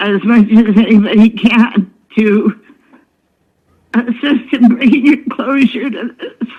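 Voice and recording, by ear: A woman speaks slowly at a fairly high pitch, with fairly even intonation and a slightly husky edge.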